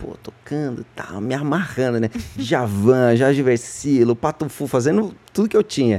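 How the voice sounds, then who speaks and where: A man speaks with ordinary pitch variation. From São Paulo, Brazil (Freguesia do Ó). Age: 30s. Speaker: singer in a music duo. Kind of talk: casual interview chat.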